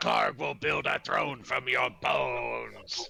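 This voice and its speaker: A man's put-on character voice, very deep and low in pitch, at a very slow pace over light background noise. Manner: menacing, threatening.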